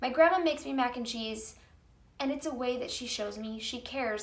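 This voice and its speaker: A woman with a high voice speaks in an upbeat tone. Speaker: poetry teacher. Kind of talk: improvised spoken word poem. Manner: upbeat, encouraging.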